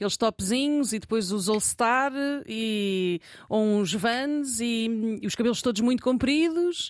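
A woman's fairly high voice, an ordinary speaking voice with ordinary pitch variation at a fairly slow pace, on a very clean recording with a silent background. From Lisbon area, Margem Sul. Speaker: journalist and podcaster. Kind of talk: casual chat. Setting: studio.

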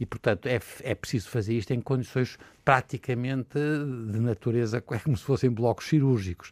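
In a normal speaking voice, a man talks at a moderate pace with a medium pitch and ordinary pitch variation, captured in a very clean recording with a silent background and a dry, close sound with no echo. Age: 60s. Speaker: physician. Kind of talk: panel discussion.

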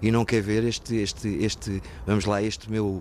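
The speaker is a man with a fairly low pitch. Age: 50s. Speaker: former patient in alcohol recovery. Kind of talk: testimony. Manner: halting.

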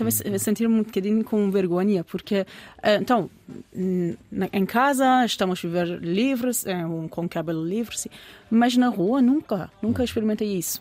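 A woman talks at a moderate pace in a medium pitch. Her pitch varies in an ordinary way. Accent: Persian. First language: Persian (speaking Portuguese). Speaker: biologist. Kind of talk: interview. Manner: halting.

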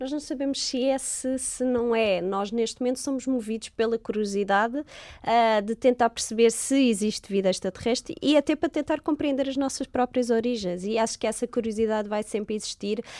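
On a very clean, dry recording with a close sound, no echo and a silent background, a woman with a fairly high pitch and a dark, mellow tone speaks at a moderate pace with ordinary pitch variation and hardly any pauses. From Portugal, Lisbon. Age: 30s. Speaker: astrobiologist. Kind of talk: interview.

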